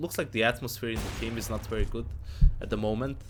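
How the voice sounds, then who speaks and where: A man's voice carries vocal fry and ordinary pitch variation. He talks at a fairly quick pace. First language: not English. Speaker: esports analyst streamer. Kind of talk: live stream match analysis with Q&A. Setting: live stream. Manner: casual, halting with self-corrections.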